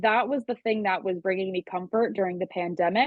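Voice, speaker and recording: Here a woman speaks with a Long Island accent. Her pitch is medium and her intonation fairly even. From Long Island, New York. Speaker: music producer and singer-songwriter. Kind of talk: interview.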